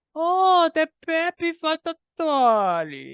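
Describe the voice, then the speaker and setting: A put-on character voice pitched high. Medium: actual play.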